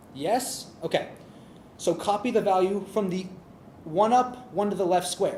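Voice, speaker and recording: A man with a high voice speaks at a fairly slow pace against noticeable background noise. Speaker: tech meetup presenter. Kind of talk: technical presentation.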